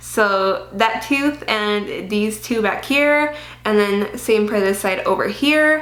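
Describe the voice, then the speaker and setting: A woman speaks with lively intonation. The recording has noticeable background noise and audible room echo. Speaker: beauty vlogger. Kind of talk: casual vlog. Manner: casual, chatty.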